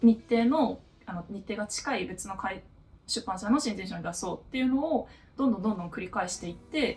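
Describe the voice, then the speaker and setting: Music plays in the background as a woman talks. Her pace is fairly quick and her intonation lively. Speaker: novelist and office worker. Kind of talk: casual Q&A talk to camera. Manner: laughing, otaku-style talk.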